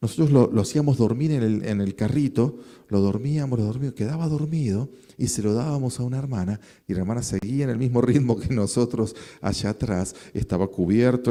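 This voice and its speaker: The man's pitch sits at a medium level with ordinary variation. He talks at a fairly quick pace. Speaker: pastor. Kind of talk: sermon.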